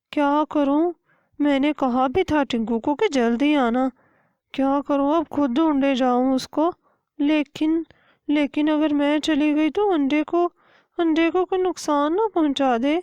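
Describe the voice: A woman uses a cartoonish character voice with an anxious tone and high pitch. She speaks at a fairly slow pace over a quiet background.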